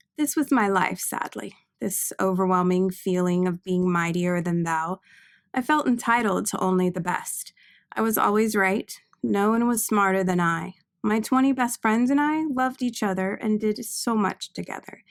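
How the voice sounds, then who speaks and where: Soft-spoken and lively in intonation, the voice keeps a moderate pace in a very clean recording with a silent background. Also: woman, medium pitch for a woman. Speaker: author reading own novel. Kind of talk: audiobook narration.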